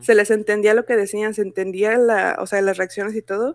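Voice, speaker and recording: Against a quiet background, a woman speaks at a fairly high pitch. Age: 20s. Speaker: graphic designer and fan artist; podcast guest. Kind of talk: casual chat. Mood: cheerful, relaxed. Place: home room. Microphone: video call.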